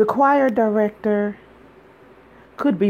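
Clear background noise runs through the clip. A woman does the talking. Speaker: radio host. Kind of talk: spoken word poetry reading, read aloud from her book. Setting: radio studio broadcast.

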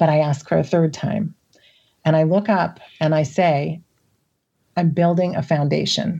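Somewhat breathy and very deep, a woman with an American accent speaks fairly slowly with long, frequent pauses, very even loudness and fairly even intonation. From US Midwest. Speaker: podcast guest sharing personal story. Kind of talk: casual interview, personal storytelling.

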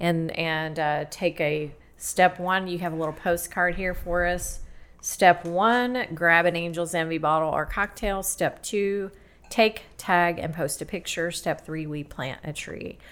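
The woman has an unremarkable speaking voice with a fairly low pitch. She keeps a fairly slow pace and fairly even intonation. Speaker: podcast host. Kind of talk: casual interview.

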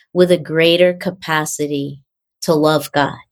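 A woman has a plain, everyday voice. She speaks at a fairly slow pace with fairly even intonation. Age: 60s. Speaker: author and translator of mystical texts. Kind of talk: casual conversation.

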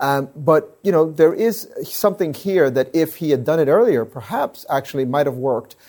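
On a very clean recording with a silent background, a man with a dark, mellow tone speaks at a fairly high pitch with lively intonation. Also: moderate pace, hardly any pauses. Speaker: legal analyst. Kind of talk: panel discussion. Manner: halting.

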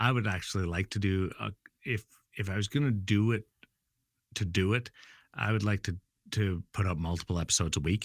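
A man's fairly low voice with a western Canadian accent, ordinary pitch variation and a fairly quick pace broken by long, frequent pauses, dry and close with no echo in a very clean recording with a silent background. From Brandon, Manitoba, Canada. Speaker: sports broadcaster. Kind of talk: casual interview.

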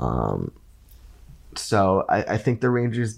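Vocal fry marks a man's speech, which shows ordinary pitch variation. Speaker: hockey writer. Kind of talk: casual chat. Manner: many fillers and restarts.

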